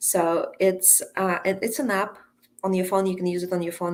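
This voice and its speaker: Recorded very cleanly against a silent background, a woman speaks at a moderate pace in a Russian accent. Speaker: coach and entrepreneur. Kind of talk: podcast interview.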